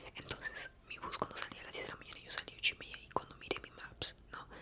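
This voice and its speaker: Whispering in a relaxed tone, a man talks at a fairly quick pace over noticeable background noise. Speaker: ASMR content creator. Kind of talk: ASMR storytime, soft-spoken personal story to camera. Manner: soft-spoken, relaxed.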